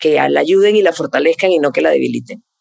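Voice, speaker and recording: The speaker is a woman. Her voice has vocal fry. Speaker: content creator and skincare influencer. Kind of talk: casual interview.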